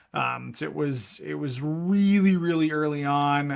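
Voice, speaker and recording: A voice with a Minnesota accent is heard against a quiet background. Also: man. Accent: Norwegian-sounding Minnesota. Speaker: esports industry director, former college esports coach. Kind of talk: podcast interview. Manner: casual, many fillers.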